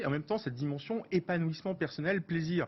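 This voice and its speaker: Talking very fast, a man comes across as somewhat breathy. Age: 50s. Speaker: business executive and start-up partner. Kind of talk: TV interview.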